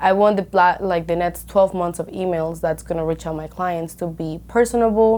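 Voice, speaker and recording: A woman with a Spanish accent, a fairly low pitch, fairly even intonation and a fairly quick pace. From Colombia. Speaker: real estate broker. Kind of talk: podcast interview.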